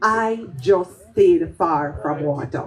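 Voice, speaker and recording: A woman speaks with a Jamaican accent. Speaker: poet. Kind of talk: storytelling performance.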